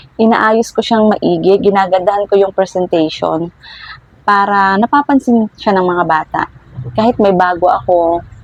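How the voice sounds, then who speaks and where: There is noticeable background noise behind a woman speaking at a medium pitch and a moderate pace. Her loudness stays very even, and the sound is dry and close with no echo. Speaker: vlogger and small toy shop owner. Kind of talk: tutorial. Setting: indoors at home. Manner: speaking louder than usual.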